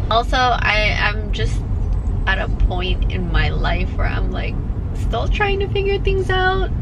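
Loud background noise fills the recording. The speaker moves at a fairly slow pace, with long, frequent pauses. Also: woman. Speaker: vlogger. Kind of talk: casual vlog chat. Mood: reflective, candid. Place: car. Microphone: phone near.

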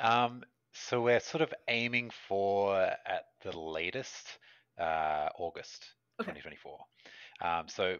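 A man with an Australian accent and lively intonation at a very slow pace, over a quiet background. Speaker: game designer; guest. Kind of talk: casual interview chat. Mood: relaxed, cheerful. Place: home room. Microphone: headset.

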